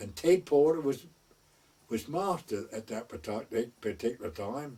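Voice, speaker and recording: Fairly slow speech from a man with an East Anglian accent, medium pitch, dark, mellow tone, very wide pitch swings and big swings in loudness. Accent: rural East Anglian dialect. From North Essex/West Suffolk border. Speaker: traditional storyteller, wartime gunner. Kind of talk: oral history storytelling.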